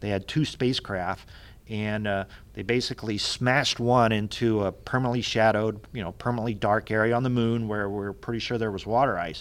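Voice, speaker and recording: Here is a man with a fairly low pitch and fairly even intonation. He has an ordinary speaking voice. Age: 50s. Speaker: planetary scientist. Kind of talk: casual chat.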